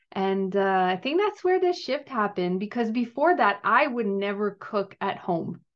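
With a French Canadian accent, a woman speaks at a moderate pace in a medium pitch, her intonation lively and her delivery hardly pausing. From Quebec, Gatineau. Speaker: wellness coach and cookbook author. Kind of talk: podcast interview.

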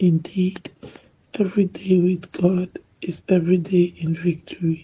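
A woman speaks in a dark, mellow tone that is somewhat breathy. Her intonation is monotone and flat. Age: 40s. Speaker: viewer giving testimony. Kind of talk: testimony.

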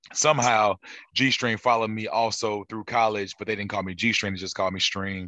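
Against a quiet background, a man speaks at a very fast pace with a bright, sharp tone and a fairly low pitch. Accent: American. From St. Louis, Missouri. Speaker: soul singer. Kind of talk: casual interview.

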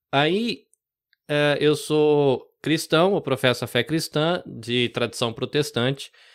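On a very clean recording with a silent background, a man with a fairly high voice speaks very slowly, with very even loudness and ordinary pitch variation. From interior of São Paulo state, Brazil (born in Salvador). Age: 40s. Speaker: podcast producer. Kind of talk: casual interview. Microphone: studio microphone and headphones.

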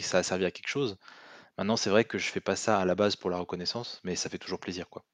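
A man speaks with monotone, flat intonation in a dry, close sound with no echo against a quiet background. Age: 20s. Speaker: penetration tester. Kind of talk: casual chat.

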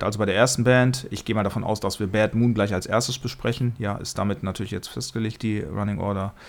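A man talks at a fairly quick pace in an ordinary speaking voice, fairly low in pitch with fairly even intonation. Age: 50s. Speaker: podcast host and music reviewer. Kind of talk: casual chat.

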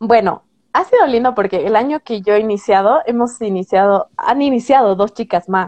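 Against a quiet background, a woman talks at a moderate pace in an ordinary speaking voice, her pitch fairly high with ordinary variation. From Bolivia. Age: 20s. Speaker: booktuber. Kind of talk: interview.

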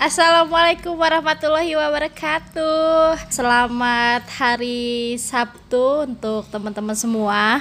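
A high-pitched woman at a very slow pace, with ordinary pitch variation. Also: hardly any pauses. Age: 20s. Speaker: podcast host. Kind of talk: casual interview. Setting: at home.

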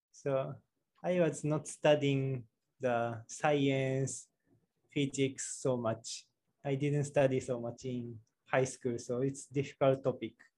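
With a Japanese accent, a man speaks at a very slow pace in a monotone, flat intonation, his medium-pitched voice dark, mellow and somewhat breathy. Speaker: office worker, YouTuber. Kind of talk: casual interview chat. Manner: halting, non-fluent English.

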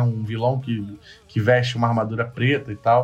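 A somewhat breathy man speaks at a moderate pace. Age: 30s. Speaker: podcast host. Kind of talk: casual chat. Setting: remote call via chat.

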